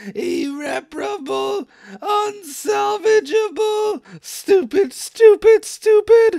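Put-on character voice at an extremely high pitch, delivered at a very slow pace. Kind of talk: comic dub. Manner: fretful, upset.

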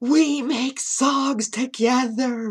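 A put-on, robotic character voice sounds female and sits at a high pitch. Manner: flat, mechanical.

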